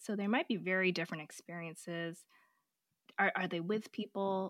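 An unremarkable speaking voice belongs to this woman, who talks at a moderate pace with an American accent and fairly even intonation. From US West Coast. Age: 40s. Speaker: pediatric oncologist and author. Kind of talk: interview, casual conversational.

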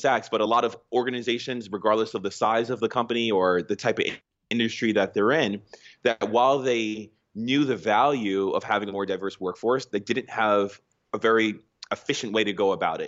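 The speaker has an American accent and a moderate pace. The intonation stays fairly even. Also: man. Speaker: startup founder and CEO. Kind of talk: interview. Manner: passionate.

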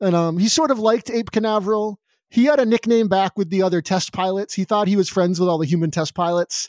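A man talks at a very fast pace with a high pitch, ordinary pitch variation and very even loudness. The recording is very clean, dry and close, with no echo and a silent background. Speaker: writer and player. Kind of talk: casual role-playing game chat. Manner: excited, playful.

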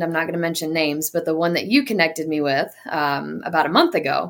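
A woman speaks at a fairly quick pace with ordinary pitch variation. It is an ordinary speaking voice. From North Carolina (Hickory). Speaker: CrossFit coach and gym manager. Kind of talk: casual interview chat.

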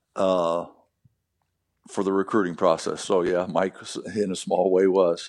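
With an American accent, the voice moves along at a moderate speed. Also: man. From US Midwest. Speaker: former basketball player and coach. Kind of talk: casual interview.

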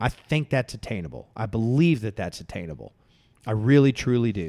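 A normal speaking voice at a fairly quick pace, lively in intonation, on a very clean recording with a silent background. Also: man. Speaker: podcast co-host. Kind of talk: casual chat.

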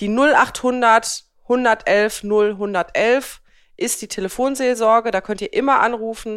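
Delivered at a very slow pace with fairly even intonation, the speech comes through on a very clean recording against a silent background. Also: woman, fairly high pitch for a woman. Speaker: podcast co-host. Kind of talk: casual chat.

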